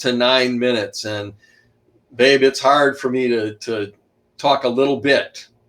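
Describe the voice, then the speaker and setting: At a moderate pace, a man with a medium pitch speaks in fairly even intonation on a very clean recording with a silent background. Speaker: author and historian. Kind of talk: interview. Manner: loud.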